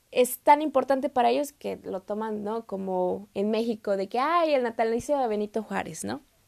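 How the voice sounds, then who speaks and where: In a very clean recording with a silent background, a woman speaks in a fairly high pitch with a dry, close sound and no echo. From Mexico, Saltillo. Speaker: podcast host, exchange student. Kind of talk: solo podcast monologue. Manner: hesitant, many fillers.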